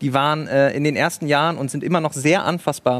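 With an unremarkable speaking voice, a man talks fairly quickly at a fairly high pitch, on a very clean recording with a silent background. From Bremen, northern Germany. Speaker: stadium announcer and writer. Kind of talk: live TV talk show discussion. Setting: studio at a live event.

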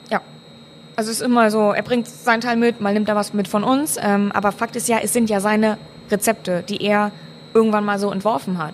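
Using an ordinary speaking voice, a woman talks at a fairly quick pace, her fairly high pitch held in fairly even intonation. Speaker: master brewer. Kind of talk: casual chat. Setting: brewhouse.

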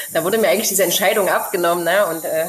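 Over noticeable background noise, a woman with a medium-pitched voice speaks very fast, keeping her intonation fairly even. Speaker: expat mother living abroad. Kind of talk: casual interview chat.

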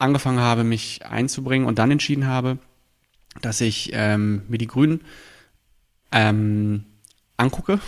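Fairly even intonation from a man, medium in pitch, at a moderate speed. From Berlin (Friedrichshain-Kreuzberg). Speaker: local politician. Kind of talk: interview. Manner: hesitant with frequent fillers.

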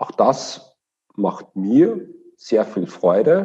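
A man is speaking. He has a Viennese accent. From Austria, Vienna. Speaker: management consultant. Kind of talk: interview.

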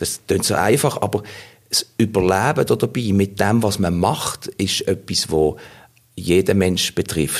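A man has a plain, everyday voice, fairly low in pitch with ordinary pitch variation. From Basel, Switzerland. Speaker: voice actor and actor. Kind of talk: interview.

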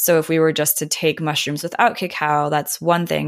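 Recorded very cleanly against a silent background, a woman speaks with a very deep, low pitch and fairly even intonation. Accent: American. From Minnesota. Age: 30s. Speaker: spiritual guide. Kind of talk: casual chat.

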